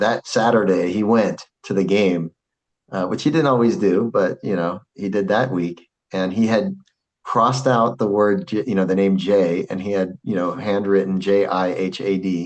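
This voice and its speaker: A man speaks at a fairly slow pace with a fairly low pitch. His intonation is fairly even. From Arizona, US (Phoenix). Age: 50s. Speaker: Islamic scholar and school president. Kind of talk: casual interview chat.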